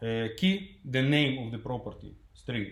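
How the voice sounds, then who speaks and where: A man speaks at a medium pitch with a non-native accent. His voice is somewhat breathy, and the room echo is audible. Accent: foreign, non-native English. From Ukraine. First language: Russian. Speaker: software developer, conference speaker. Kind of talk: tech conference talk. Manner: halting, many fillers.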